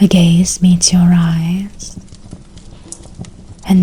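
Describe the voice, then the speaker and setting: Very slowly, a soft-spoken speaker talks while noticeable background noise carries on behind. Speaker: game master. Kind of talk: DnD ASMR storytelling. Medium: actual play.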